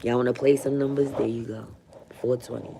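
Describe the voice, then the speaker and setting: Her pitch very deep and low, a woman talks at a moderate pace in a monotone, flat intonation. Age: 30s. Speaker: livestreamer. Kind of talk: casual livestream chat.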